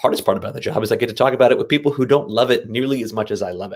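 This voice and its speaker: An animated man at medium pitch with an American accent. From New Jersey. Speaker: teacher and keynote speaker. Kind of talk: keynote talk. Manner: fast.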